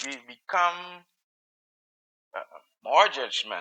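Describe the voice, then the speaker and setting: The pace is very slow. The speaker is a man. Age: middle-aged. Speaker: podcast host. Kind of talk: solo podcast commentary. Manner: halting, many fillers and repetitions.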